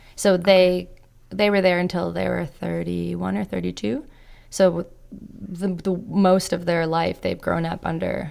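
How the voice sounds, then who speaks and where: A woman with a Canadian accent talks at a fairly slow pace. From Canada, with Croatian parents. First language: Croatian. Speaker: podcast guest. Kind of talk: casual interview chat.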